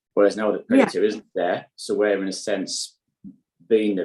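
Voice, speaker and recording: Here a man speaks with a northeast English accent. His pace is fairly quick. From County Durham, northeast England. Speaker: sustainable beef farmer. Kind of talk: interview answer.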